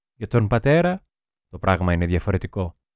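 A man talks at a fairly slow pace. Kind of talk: audiobook reading of a literary diary excerpt. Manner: measured, expressive reading, soft and wistful in the girl's confessional passages.

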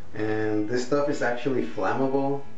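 A man speaks with fairly even intonation. Faint music and an audible room echo sit behind him. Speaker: product reviewer. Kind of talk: casual vlog chat. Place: home room. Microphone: webcam.

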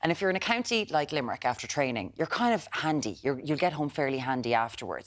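Very fast speech in an Irish accent over a quiet background. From Ireland. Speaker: breakfast TV presenter. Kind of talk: live breakfast TV presenting. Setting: TV studio. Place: studio. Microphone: lapel.

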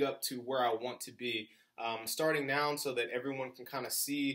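A man speaks in a flat monotone against a quiet background. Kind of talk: casual vlog chat. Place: home room. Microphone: phone near.

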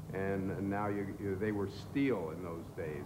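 A man speaks at a moderate pace. Noticeable background noise runs underneath. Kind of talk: interview answer. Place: factory.

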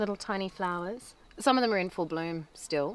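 A woman's voice comes through in a dry sound with no echo. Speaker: family vlogger. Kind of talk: casual vlog chat. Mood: relaxed, playful. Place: garden.

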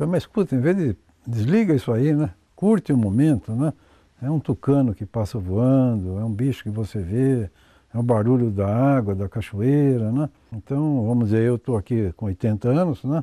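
A man speaks at a moderate pace with lively intonation and a dark, mellow tone. The background is quiet and the sound is dry with no echo. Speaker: farm owner. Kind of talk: interview.

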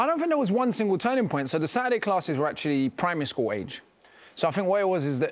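A man talks at a very fast pace with a London accent. His pitch swings very widely. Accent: British, London. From London, England. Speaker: rapper and author. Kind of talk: interview answer. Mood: calm, reflective. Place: studio.

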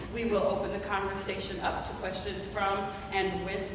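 A woman with an American accent talks at a fairly slow pace with ordinary pitch variation, over noticeable background noise and strong room echo. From US South. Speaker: visual artist and moderator. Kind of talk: panel discussion. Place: hall. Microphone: camera far.

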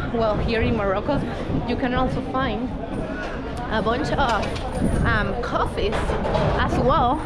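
Loud background noise surrounds a woman talking at a fairly slow pace. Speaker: travel vlogger. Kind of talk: casual vlog chat. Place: street. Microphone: phone near.

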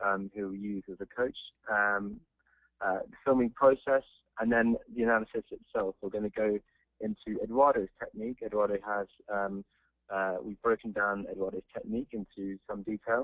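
A man's fairly low voice with a strong English accent, fairly even intonation and a quiet background. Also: moderate pace, dry sound with no echo. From England. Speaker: polo coaching presenter. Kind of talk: webinar presentation. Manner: hesitant, many fillers. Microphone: video call.

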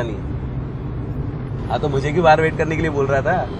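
A man speaks at a moderate pace, with a dry sound and no echo. Background noise is noticeable. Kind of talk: acted phone conversation. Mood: annoyed, protesting. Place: car.

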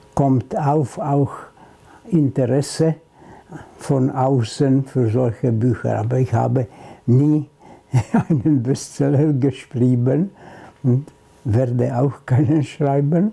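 At a very slow pace and very even loudness, a man speaks with ordinary pitch variation and long, frequent pauses. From Slovakia. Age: 80s+. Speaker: Holocaust survivor, film critic. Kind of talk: interview answer. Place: home room. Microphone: lapel.

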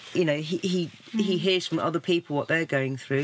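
Against noticeable background noise, a woman talks in a very deep, low voice with ordinary pitch variation. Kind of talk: interview answer. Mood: worried, a little strained. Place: boat.

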